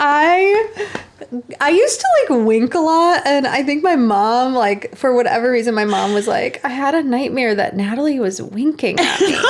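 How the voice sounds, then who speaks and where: The speaker's pitch swings very widely while loudness stays very even. The pace is moderate, with noticeable background noise. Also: woman, high pitch for a woman. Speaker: podcast co-host. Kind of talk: casual chat.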